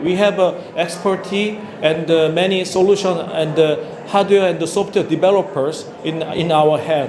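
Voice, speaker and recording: Recorded with audible room echo and noticeable background noise, a man with high pitch speaks in fairly even intonation. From South Korea. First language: Korean. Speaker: company founder and CEO. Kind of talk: conference presentation. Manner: halting, many fillers.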